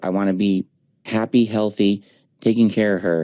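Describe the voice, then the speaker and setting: A man's fairly low voice, dark and mellow in tone, at a moderate pace, with a dry, close sound and no echo. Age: 40s. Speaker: streamer. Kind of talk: casual chat. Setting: voice chat.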